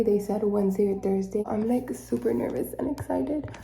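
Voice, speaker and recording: A woman whispers at a moderate pace. Audible room echo surrounds her voice. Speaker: vlogger. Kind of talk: casual vlog. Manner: whispering.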